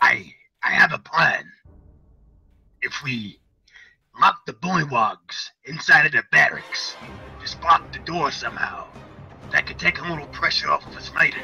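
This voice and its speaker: A man uses a raspy, put-on character voice at a moderate pace, with long, frequent pauses. His loudness swings a lot, and faint music plays in the background. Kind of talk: in-character tabletop roleplay. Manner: calm, practical, persuasive.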